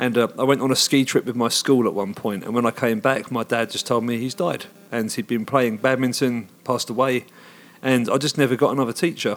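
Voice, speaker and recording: A man speaks with a southern English accent at a medium pitch. His pace is fairly quick and his intonation fairly even. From England, Hertfordshire. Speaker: rock band singer. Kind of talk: interview. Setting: concert venue.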